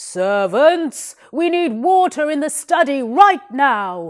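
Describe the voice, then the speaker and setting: Using a put-on character voice, a woman speaks very slowly in a raised, projected voice at a high pitch. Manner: shouting.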